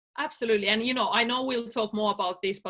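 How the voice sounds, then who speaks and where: A woman's bright, sharp, fairly high voice in a Finnish accent, with fairly even intonation, on a very clean recording with a silent background. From Finland. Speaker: life coach. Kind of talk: interview.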